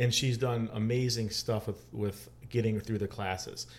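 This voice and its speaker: A somewhat breathy voice with a Chicago accent at a moderate pace. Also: man. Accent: Chicago American. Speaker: athletic trainer and gym owner. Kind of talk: casual interview.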